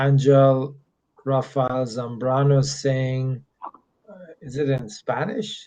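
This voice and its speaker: Quietly and at a very slow pace, a man talks at medium pitch with ordinary pitch variation. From Middle East. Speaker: immigration consultant. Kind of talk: live Q&A stream. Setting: hotel room. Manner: speaking slower and quieter.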